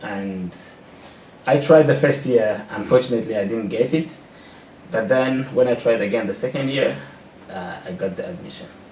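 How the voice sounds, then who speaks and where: A man's medium-pitched voice at a moderate pace, with lively intonation, big swings in loudness and long, frequent pauses, over noticeable background noise and audible room echo. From Burundi. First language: French. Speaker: postdoctoral researcher. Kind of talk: interview. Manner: halting, repeats words.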